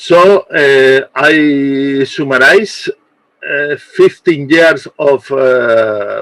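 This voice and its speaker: A man talks with a non-native accent. The sound is dry and close, with no echo. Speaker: archaeologist. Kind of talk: conference presentation. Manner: halting.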